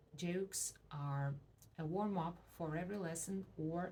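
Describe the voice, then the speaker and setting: Speaking with a Russian accent, a woman has a fairly low, somewhat breathy voice. Her tone is dark and mellow, with ordinary pitch variation. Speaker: language teacher. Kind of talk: promotional self-introduction.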